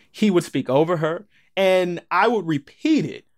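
In a very clean recording with a silent background, a man talks in an animated tone with an American accent and lively intonation. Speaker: transgender man sharing his story. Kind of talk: personal interview storytelling. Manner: animated, laughing.

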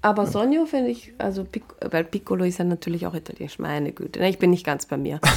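Talking at a very fast pace, a woman uses a fairly low pitch and lively intonation. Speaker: dog trainer. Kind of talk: casual chat.

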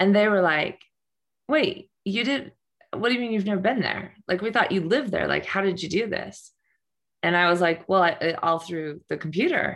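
A woman with a plain, everyday voice speaks at a moderate pace. Her medium pitch shows ordinary variation. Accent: American. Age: 50s. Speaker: nonprofit founder and coach. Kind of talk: interview.

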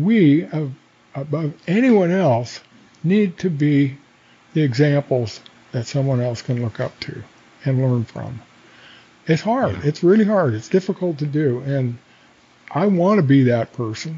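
The delivery is fairly slow and broken by long, frequent pauses. The voice is somewhat breathy. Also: man, fairly high pitch for a man, lively intonation. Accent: Inland Northwest. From North Idaho, Coeur d'Alene. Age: 70s. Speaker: fishing guide and hunter. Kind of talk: casual interview. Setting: studio.

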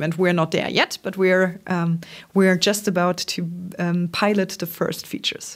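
In a very clean recording with a silent background, a woman speaks at a medium pitch with monotone, flat intonation. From Germany, Trier. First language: German. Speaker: startup founder. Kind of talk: interview. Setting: office. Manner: hesitant, many ums.

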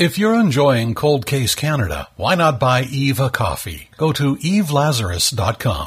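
A man's pitch swings very widely while his loudness stays very even. He barely pauses at all. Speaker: nephew of missing person. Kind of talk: casual reminiscing interview.

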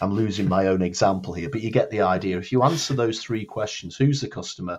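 Against a quiet background, a man with a Lancashire accent talks at a fairly quick pace. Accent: northern English (Lancashire). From northern England, Blackpool. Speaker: marketing consultant and public speaker. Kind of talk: interview.

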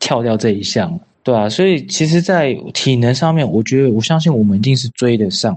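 With an unremarkable speaking voice, a man talks at medium pitch and a fairly quick pace with lively intonation. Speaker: American football player. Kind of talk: interview.

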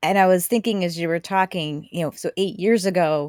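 On a very clean recording with a silent background, a woman's voice shows ordinary pitch variation and a dry, close sound with no echo. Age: 40s. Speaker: podcast host. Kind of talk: casual conversation.

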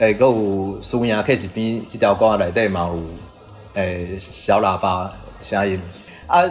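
Music plays in the background as a man with fairly low pitch speaks with ordinary pitch variation. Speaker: band member, musician. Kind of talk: interview.

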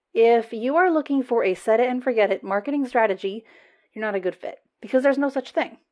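Fairly high in pitch and lively in intonation, a woman with a General American accent and an unremarkable speaking voice talks at a fairly quick pace. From United States. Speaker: marketing agency owner and podcast host. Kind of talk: solo podcast monologue, conversational with a promotional tone.

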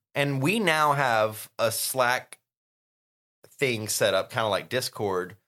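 Speaking with a Southern US accent at a medium pitch, a man moves at a very slow pace with ordinary pitch variation and long, frequent pauses, in a very clean recording with a silent background. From US South. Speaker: podcast co-host. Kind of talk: casual chat.

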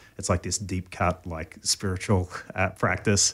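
Very deep and low in pitch, a man speaks with an Australian accent in a monotone, flat intonation, in a very clean recording with a silent background. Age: 40s. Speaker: pastor. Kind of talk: casual chat. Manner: halting.

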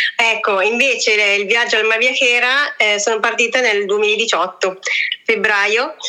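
Against noticeable background noise, a woman speaks fairly slowly at a fairly high pitch, with fairly even intonation and very even loudness. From Italy. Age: 30s. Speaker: travel blogger. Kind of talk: casual interview. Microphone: voice echoes back, sounds metallic.

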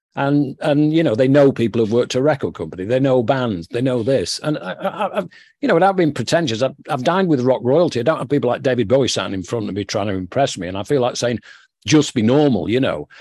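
A man talks at a very fast pace with lively intonation. He has a northern English accent, and the background is quiet. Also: medium pitch for a man. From northern England. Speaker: author and former music executive. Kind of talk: interview.

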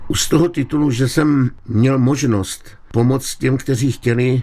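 Dark and mellow in tone, the voice proceeds at a fairly slow pace with ordinary pitch variation. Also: man. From Czechia, Liberec region. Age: 70s. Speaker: writer and collector. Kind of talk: radio interview.

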